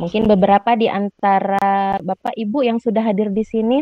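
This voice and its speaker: Her medium-pitched voice stays flat and monotone as the woman talks. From Lampung, Sumatra, Indonesia. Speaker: university lecturer in social studies education. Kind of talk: webinar presentation. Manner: frequent fillers, hesitant.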